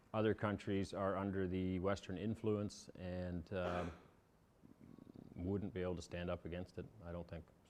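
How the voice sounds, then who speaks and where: With a Canadian accent, a man speaks in a very deep, low pitch and monotone, flat intonation at a moderate pace, leaving long, frequent pauses. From Canada. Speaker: immigrant farmer, father of eight. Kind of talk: interview through interpreter. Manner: halting, many fillers.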